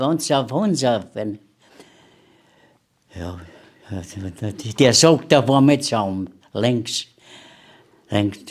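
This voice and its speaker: This is a man at a medium pitch. He talks at a very slow pace. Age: 80s+. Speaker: war veteran. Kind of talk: interview answer.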